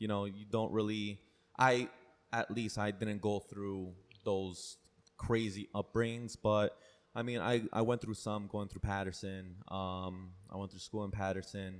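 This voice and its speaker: Monotone, flat intonation runs through this man's speech in a Spanish accent. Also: fairly low pitch for a man, fairly slow pace, very clean recording, silent background. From Paterson, New Jersey, US (early childhood in Peru). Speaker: personal trainer. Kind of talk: podcast interview. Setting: trainer's own space.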